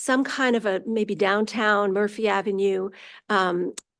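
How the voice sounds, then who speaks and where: A woman speaks in a normal speaking voice, fairly high in pitch with ordinary pitch variation, against a quiet background. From New York. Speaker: commission applicant. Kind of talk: interview. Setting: city council meeting.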